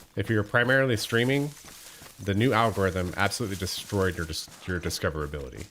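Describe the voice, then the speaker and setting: Over noticeable background noise, a man talks very fast at a fairly low pitch with lively intonation. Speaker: gaming livestreamer. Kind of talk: casual livestream chat with viewers. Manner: relaxed, conversational.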